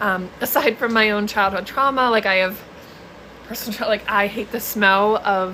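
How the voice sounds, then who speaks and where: Noticeable background noise sits behind a woman speaking with an American accent and fairly even intonation. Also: medium pitch for a woman, moderate pace. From US East Coast. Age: 20s. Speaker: mental health content creator, trauma survivor. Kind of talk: live stream chat. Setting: live stream. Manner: casual, filler-heavy.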